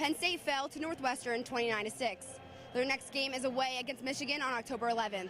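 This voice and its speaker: Over music in the background, a woman speaks at a very fast pace with a high pitch and ordinary pitch variation. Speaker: sports broadcaster, sideline reporter. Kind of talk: TV sports news reporting and interviewing. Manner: clear, polished, broadcast delivery.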